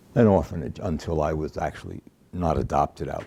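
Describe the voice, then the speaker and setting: With an American accent, a man speaks at a moderate pace in a very deep, low pitch, his tone dark and mellow, his intonation fairly even and marked by vocal fry. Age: 70s. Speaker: oral history interviewee. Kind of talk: interview. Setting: at home.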